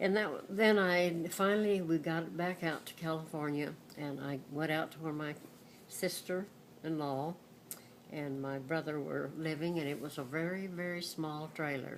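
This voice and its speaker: A woman's very deep, low voice with an American accent, fairly slow, with ordinary pitch variation and audible room echo. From Texas. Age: 80s+. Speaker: grandmother sharing life memories. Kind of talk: storytelling to a class. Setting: speaking to a school class. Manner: halting.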